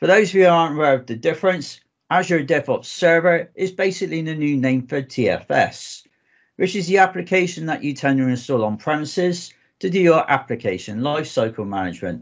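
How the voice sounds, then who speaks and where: Fairly high-pitched and at a fairly quick pace, a man with a southwest English accent talks with lively intonation. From southwest England. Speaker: database architect, conference speaker. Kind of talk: technical presentation.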